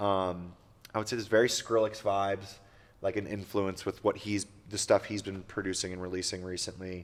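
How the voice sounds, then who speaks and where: At a fairly quick pace, a man speaks in a fairly low pitch with monotone, flat intonation, in a very clean recording with a silent background. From Pittsburgh. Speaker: DJ and producer. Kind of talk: casual chat. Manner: loud.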